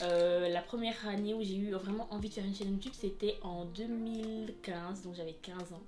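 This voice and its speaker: Very fast speech from a woman, fairly even in intonation, with noticeable background noise and audible room echo. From Wallonia, Belgium. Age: 20s. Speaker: youtuber. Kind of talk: casual vlog.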